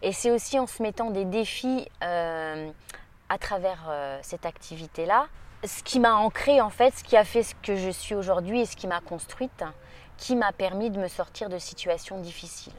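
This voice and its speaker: A woman's fairly slow delivery with ordinary pitch variation and big swings in loudness. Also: medium pitch for a woman. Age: 40s. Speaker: judo practitioner and coach. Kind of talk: interview. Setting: summer training camp. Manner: halting.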